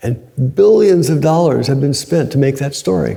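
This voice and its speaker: A man talks at a fairly quick pace with lively intonation. His voice is somewhat breathy, with a dark, mellow tone. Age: 70s. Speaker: Zen teacher. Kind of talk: dharma talk. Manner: conversational.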